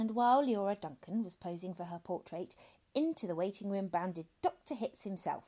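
The voice reads naturally. It is a natural reading voice throughout.

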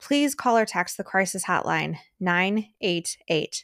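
In an ordinary speaking voice, a woman speaks at a fairly slow pace with ordinary pitch variation, recorded dry and close with no echo on a very clean recording with a silent background. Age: 30s. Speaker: podcast host. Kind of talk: podcast interview; scripted intro.

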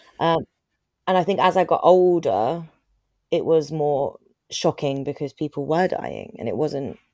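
A woman with a London accent speaks at a fairly slow pace with ordinary pitch variation, her tone dark and mellow, the sound dry and close with no echo against a quiet background. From Croydon, south London. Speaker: charity chief executive. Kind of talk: interview.

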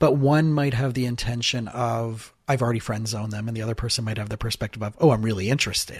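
This man talks very fast with hardly any pauses, at a medium pitch and with fairly even intonation. His voice is somewhat breathy. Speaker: therapist. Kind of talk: casual chat.

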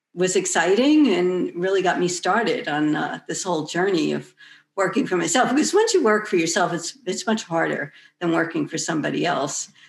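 On a very clean recording with a silent background, a woman with an unremarkable speaking voice talks at a moderate pace, medium pitch and ordinary pitch variation. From New York. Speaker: author, artist and coach. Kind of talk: interview.

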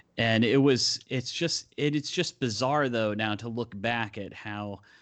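Speaking at a fairly slow pace, a man talks at a medium pitch. His pitch varies in an ordinary way. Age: 40s. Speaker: author and humorist. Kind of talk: casual chat. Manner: halting, many fillers.

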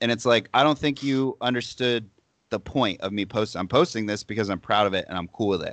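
At a fairly quick pace, a man with a normal speaking voice talks with ordinary pitch variation against a quiet background, the sound dry and close with no echo. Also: medium pitch for a man. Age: 20s. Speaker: fitness influencer. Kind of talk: casual chat.

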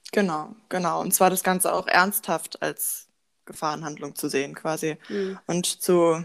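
A woman talks in a normal speaking voice at a fairly slow pace and a fairly low pitch, on a very clean recording with a silent background. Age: young. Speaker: psychology student. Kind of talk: casual podcast discussion.

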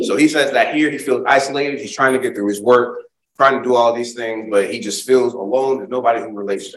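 A man of medium pitch speaks with an American accent in a normal speaking voice, using ordinary pitch variation. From Springfield, Massachusetts. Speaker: diversity and inclusion speaker. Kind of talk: keynote talk and Q&A.

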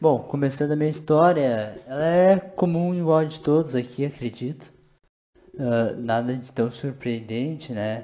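Here a man speaks at a fairly slow pace in a fairly high voice. His tone is dark and mellow, with ordinary pitch variation. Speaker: podcast co-host. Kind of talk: casual chat.

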